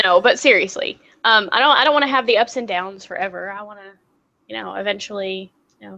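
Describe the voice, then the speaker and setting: In a bright, sharp tone with vocal fry, a woman races at a very fast pace, showing ordinary pitch variation and big swings in loudness. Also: medium pitch for a woman. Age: 30s. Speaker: talk show co-host. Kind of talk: casual chat. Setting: live online video show.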